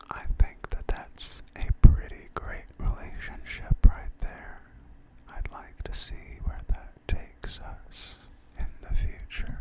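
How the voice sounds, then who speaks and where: Whispering at a very slow pace in a calm tone, the voice comes through noticeable background noise. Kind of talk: whispered ASMR talk to camera. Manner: whispered, soft-spoken, calm.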